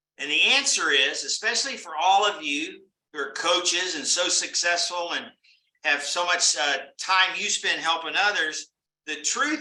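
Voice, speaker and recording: A man speaks at a moderate pace in a high voice with a bright, sharp tone. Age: 60s. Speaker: business networking franchise leader. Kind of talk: motivational talk to a live online group. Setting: live online meeting with chat. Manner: conversational, addresses attendees by name.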